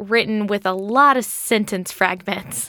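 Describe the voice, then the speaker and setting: In a very clean recording with a silent background, a woman talks at a very slow pace with a medium pitch. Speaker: podcast host. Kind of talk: casual chat.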